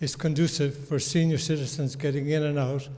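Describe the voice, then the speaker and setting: A man speaks with a fairly high pitch. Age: 80s+. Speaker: resident speaking at town meeting. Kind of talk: public comment at town meeting.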